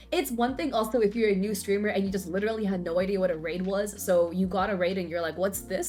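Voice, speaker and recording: A woman speaks with music in the background. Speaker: Twitch streamer. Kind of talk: casual talk to camera.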